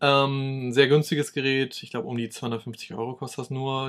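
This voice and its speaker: A man's normal speaking voice at medium pitch, with ordinary pitch variation. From East Frisia, northern Germany. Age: 30s. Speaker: YouTuber on smart home tech. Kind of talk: casual chat.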